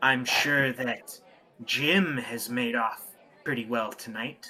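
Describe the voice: Using a put-on character voice, a man speaks at medium pitch, at a fairly slow pace with fairly even intonation.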